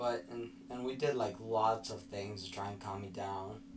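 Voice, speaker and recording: Audible echo from the room surrounds a man as he speaks. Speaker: vlogger. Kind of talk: personal vlog recap. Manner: halting, mispronounces some words.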